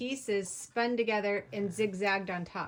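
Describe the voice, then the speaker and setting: A normal speaking voice moves at a fairly slow pace with ordinary pitch variation. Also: woman. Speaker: video host. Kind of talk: commentary on tutorial.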